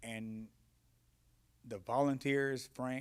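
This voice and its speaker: This man's voice sits at a medium pitch. It rises and falls in an ordinary way. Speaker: former prisoner and marathon runner. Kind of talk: Q&A panel discussion. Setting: film screening with audience.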